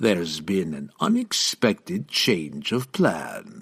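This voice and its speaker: A put-on character voice from a man, very deep and low in pitch, at a fairly slow pace. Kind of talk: refined, cultured.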